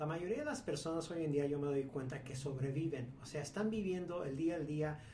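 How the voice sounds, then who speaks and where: In a Mexican accent, a man speaks at a fairly quick pace with a fairly high pitch and ordinary pitch variation, amid noticeable background noise and audible room echo. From Mexico. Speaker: businessman. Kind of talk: casual chat. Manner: halting.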